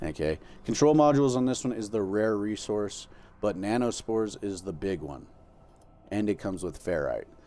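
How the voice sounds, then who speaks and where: A man's fairly low voice with a dark, mellow tone and lively intonation. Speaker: gaming streamer. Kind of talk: tutorial. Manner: fast; casual, filler-heavy.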